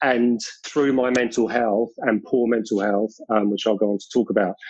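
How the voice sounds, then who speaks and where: A man speaks with a British accent. His intonation is monotone and flat. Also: medium pitch for a man, moderate pace. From South London, England. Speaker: long distance runner and mental health advocate. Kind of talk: podcast interview.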